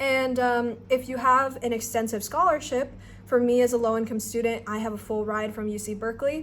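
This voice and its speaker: A woman with an unremarkable speaking voice talks at a fairly quick pace. Her pitch is fairly high and her intonation fairly even. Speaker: student researcher and vlogger. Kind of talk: tutorial. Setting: abroad in Nepal. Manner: casual with many fillers.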